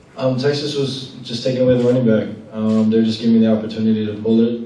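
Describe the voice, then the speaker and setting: A man talks at a fairly quick pace, with audible room echo. Light background noise runs underneath. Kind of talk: interview answer. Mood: calm, modest after a win. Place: hall.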